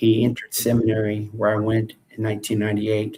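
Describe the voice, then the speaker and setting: A man with an American accent speaks at a moderate pace in a fairly low, somewhat breathy voice. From France, then United States. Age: 60s. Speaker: preacher. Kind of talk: live video chat.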